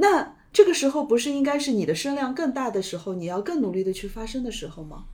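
Words come at a very fast pace. Hardly any pauses break them up. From Shanghai. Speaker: podcast host, food media editor. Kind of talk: casual interview conversation.

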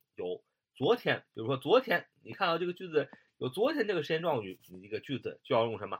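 A man with a fairly high pitch talks at a very fast pace, his pitch swinging very widely and his loudness shifting in big jumps. Vocal fry shows up in a dry, close sound without echo. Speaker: English grammar teacher. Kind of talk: lecture. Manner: halting, many filler sounds.

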